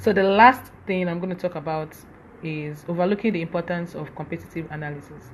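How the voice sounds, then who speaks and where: At a fairly quick clip, the delivery carries ordinary pitch variation. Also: woman, fairly low pitch for a woman. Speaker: social media influencer. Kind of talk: live stream talk. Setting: Instagram live session. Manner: fast.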